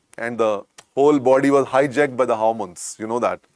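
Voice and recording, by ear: The delivery moves at a fairly quick pace with ordinary pitch variation. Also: man, medium pitch for a man.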